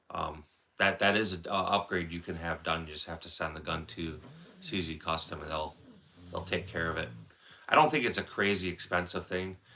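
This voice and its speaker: In a Wisconsin accent, a man speaks at a fairly quick pace with a very deep, low pitch. His tone is bright and sharp, with ordinary pitch variation. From central Wisconsin. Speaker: firearms livestreamer. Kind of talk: casual live stream chat.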